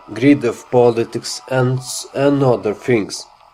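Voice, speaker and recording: With music in the background, a man speaks with a non-native accent. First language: not English. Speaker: gamer. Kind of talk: game impressions talk. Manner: hesitant, many fillers.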